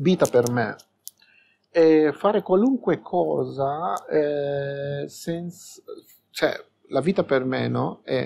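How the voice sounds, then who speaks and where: The man's pace is very slow. Long pauses come often. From Peru. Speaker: drag performer. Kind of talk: interview answer.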